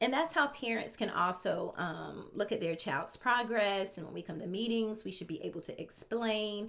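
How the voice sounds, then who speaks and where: With vocal fry and hardly any pauses, a woman speaks at a moderate pace in a fairly high voice with lively intonation. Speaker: special education teacher. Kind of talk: tutorial. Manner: casual with many fillers.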